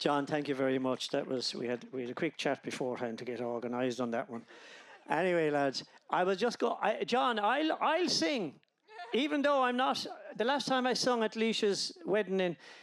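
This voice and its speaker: In an Irish accent, a man with a high voice talks with very wide pitch swings. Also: moderate pace. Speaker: wedding guest giving a speech. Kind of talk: wedding speech. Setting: wedding reception.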